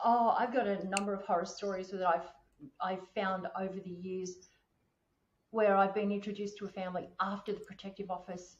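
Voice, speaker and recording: A woman with an Australian accent talks at a fairly quick pace. Her medium-pitched voice stays monotone and flat. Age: 60s. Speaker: podcast host on finance and wellbeing. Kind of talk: casual chat.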